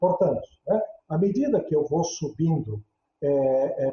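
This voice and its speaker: A man speaking at a fairly slow pace. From Brazil, interior of Santa Catarina. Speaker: theology professor. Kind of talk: interview. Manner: halting, many fillers.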